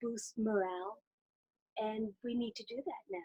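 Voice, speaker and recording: This is a woman's voice. Her pitch is fairly high. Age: 60s. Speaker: musician and bandleader. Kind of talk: interview.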